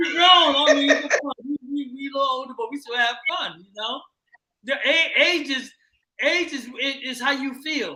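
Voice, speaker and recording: Man with an extremely high pitch, a raised, projected voice, big swings in loudness, and ordinary pitch variation. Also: moderate pace. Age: 60s. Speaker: recording artist. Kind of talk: casual chat. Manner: halting.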